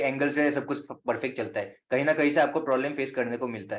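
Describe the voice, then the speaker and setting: A man with a plain, everyday voice and fairly high pitch. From Assam, northeast India (Guwahati). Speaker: astrologer. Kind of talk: online teaching session.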